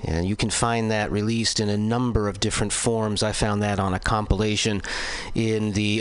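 There is noticeable background noise in this recording. Over it, a man speaks with fairly low pitch. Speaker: radio DJ. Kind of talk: radio music announcing.

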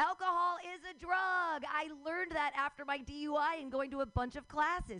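Using a raised, projected voice, a woman talks at a high pitch with ordinary pitch variation. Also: moderate pace. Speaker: comedy open mic host. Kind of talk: comedy emcee banter. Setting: stage with audience. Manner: animated.

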